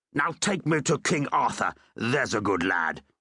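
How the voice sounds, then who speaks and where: A man uses a put-on character voice, growling at a medium pitch. He moves at a moderate pace with very wide pitch swings. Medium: read story. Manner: pompous, oily.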